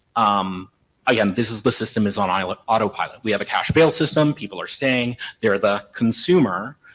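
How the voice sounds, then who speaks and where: A man's medium-pitched voice at a fairly quick pace, with ordinary pitch variation, in a very clean recording over a silent background. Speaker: legal aid attorney. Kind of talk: conference panel talk. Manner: fast.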